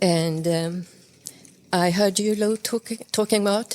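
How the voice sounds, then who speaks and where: A woman at a very slow pace, her intonation fairly even. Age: 70s. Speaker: artist and teacher. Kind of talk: casual chat. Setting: festival workshop. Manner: halting.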